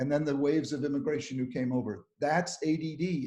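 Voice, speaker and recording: A man's somewhat breathy voice with a dark, mellow tone, fairly high pitch and moderate pace. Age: 70s. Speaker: psychiatrist and ADHD expert. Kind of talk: webinar talk. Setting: live online webinar. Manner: animated.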